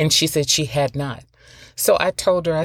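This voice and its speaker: This woman speaks with a Southern US accent. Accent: Southern American. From US South. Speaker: podcast host. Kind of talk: solo podcast monologue.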